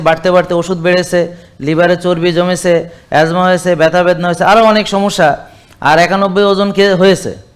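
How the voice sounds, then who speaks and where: A man talks at a high pitch in a monotone, flat intonation. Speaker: doctor. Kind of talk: patient testimonial interview.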